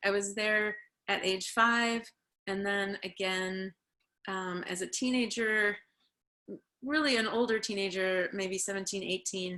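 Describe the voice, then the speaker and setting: With an American accent and a bright, sharp tone, a woman of medium pitch speaks at a fairly slow pace with long, frequent pauses. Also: fairly even intonation. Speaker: author and community college teacher. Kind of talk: online book group discussion.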